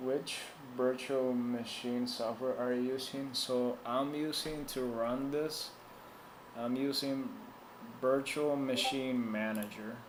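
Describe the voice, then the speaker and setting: A man's medium-pitched voice with a Spanish accent, very slow and monotone with flat intonation, at very even loudness, with audible room echo. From Puerto Rico. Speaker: tech support streamer. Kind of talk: live stream tech support chat. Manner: casual, hesitant with fillers.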